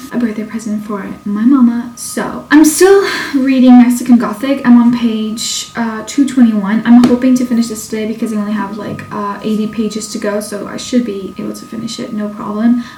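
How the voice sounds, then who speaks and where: A woman's fairly high, fairly quick voice with fairly even intonation and big swings in loudness, over noticeable background noise. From Portugal. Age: 20s. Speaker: book reviewer. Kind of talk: casual talk to camera.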